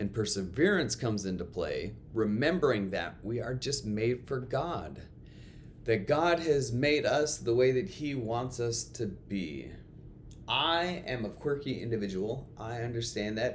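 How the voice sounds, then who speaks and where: With lively intonation and medium pitch, a man speaks at a fairly slow pace amid audible room echo. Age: 30s. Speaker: school chapel speaker and coach. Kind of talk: chapel talk. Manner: loud.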